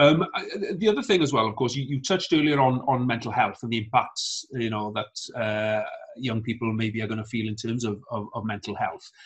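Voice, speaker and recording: Speaking with a Welsh accent, a man talks at a fairly quick pace with ordinary pitch variation. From Wales. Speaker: politician, show host. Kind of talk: interview. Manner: hesitant with frequent fillers. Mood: calm, friendly. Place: home room. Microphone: video call.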